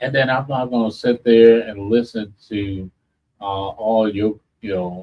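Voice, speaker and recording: A man speaks in a fairly low pitch. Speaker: radio host. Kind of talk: casual chat. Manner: halting.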